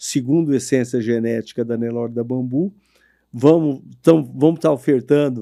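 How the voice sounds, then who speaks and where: A man with a fairly high pitch, a dark, mellow tone and ordinary pitch variation speaks on a very clean recording with a silent background. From São Paulo state interior, Brazil. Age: 60s. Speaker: cattle rancher. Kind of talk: interview podcast.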